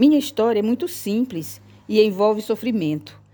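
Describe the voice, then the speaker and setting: A woman speaks at a fairly slow pace with a dark, mellow tone and medium pitch. Her intonation is lively, and the recording is very clean with a silent background. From Brazil, Maranhão (Bacabal). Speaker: author reading her own memoir. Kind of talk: audiobook reading of rhyming memoir.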